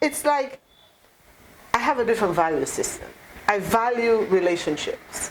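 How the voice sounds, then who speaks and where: Over noticeable background noise, a woman speaks at a moderate pace in a passionate tone, her fairly high pitch swinging very widely. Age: 60s. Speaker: party leader. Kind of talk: interview.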